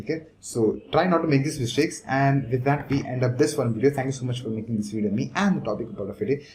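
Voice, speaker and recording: The man's voice is somewhat breathy. He talks at a very fast pace. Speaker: online business coach. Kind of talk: talking-head tutorial. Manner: fast, normally rushes.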